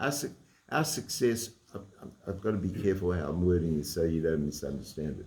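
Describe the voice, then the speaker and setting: A man with an Australian accent talks at a fairly quick pace, his very deep, low pitch carrying lively intonation. His tone is dark and mellow, and somewhat breathy. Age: 80s+. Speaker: Torah teacher and lawyer. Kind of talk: religious lecture. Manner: halting, with frequent repetitions.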